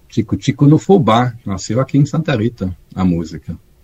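A man with a German accent, lively intonation and a moderate pace. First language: German (speaking Portuguese). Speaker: tax auditor. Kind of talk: interview. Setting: video call. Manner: halting.

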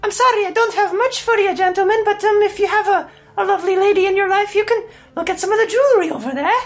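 In a put-on character voice, a man talks at a very fast pace with an extremely high pitch. Faint music plays in the background. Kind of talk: warm matronly put-on voice. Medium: actual play. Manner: sweetly condescending, chatty, fussy.

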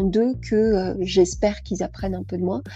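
Music in the background behind a woman talking at a moderate pace. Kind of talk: casual interview. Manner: animated.

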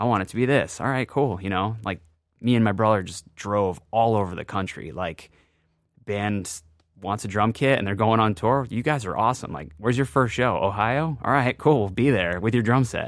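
A man with an American accent speaks in a normal speaking voice at a moderate pace, with fairly low pitch and ordinary pitch variation. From Worcester, Massachusetts, New England. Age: 30s. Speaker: drum company founder and drummer. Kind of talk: casual interview chat.

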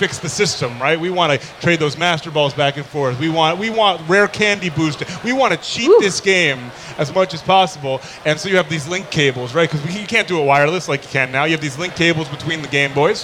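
Over noticeable background noise, a man with an American accent speaks at a fairly quick pace in a high pitch, with ordinary pitch variation. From New York area. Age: 20s. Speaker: podcast host, songwriter and voice actor. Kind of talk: casual chat. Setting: stage with live audience at gaming event.

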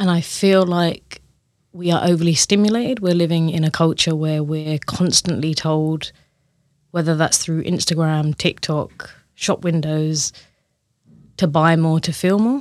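At a fairly slow pace, a woman with an unremarkable speaking voice and fairly low pitch speaks with ordinary pitch variation. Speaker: somatic coach. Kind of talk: interview conversation. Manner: warm, reflective.

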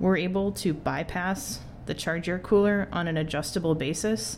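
With an American accent, a woman talks at a moderate pace with vocal fry. Her pitch sits fairly low, with ordinary variation. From US Midwest (Wisconsin). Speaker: engineer and startup co-founder. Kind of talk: interview.

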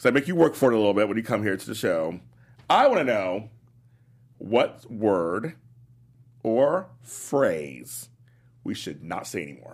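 Speaking with an American accent, a man with a fairly low pitch and vocal fry swings very widely in pitch, with long, frequent pauses. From South Los Angeles. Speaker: radio host. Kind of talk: casual radio interview.

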